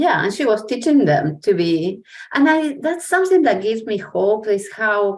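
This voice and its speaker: A woman speaks at a moderate pace in a fairly high pitch, her voice swinging very widely up and down. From Argentina. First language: Spanish. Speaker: educator. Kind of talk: casual chat.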